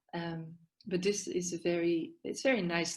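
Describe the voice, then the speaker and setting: Here a woman speaks at a fairly low pitch. She keeps her intonation fairly even. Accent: Dutch. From Netherlands, Amsterdam. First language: Dutch. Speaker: yoga therapist and psychiatric nurse. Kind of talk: podcast interview. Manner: halting, many fillers.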